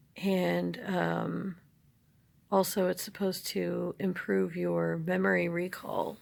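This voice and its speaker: A woman speaks quietly at a very slow pace. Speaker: herbalist vlogger. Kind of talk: casual vlog. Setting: at home, others asleep. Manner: hushed, low voice; halting with fillers.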